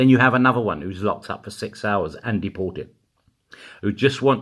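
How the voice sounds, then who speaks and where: This man talks at a fairly quick pace. His tone is animated. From East End of London. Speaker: political commentator vlogger. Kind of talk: angry political rant.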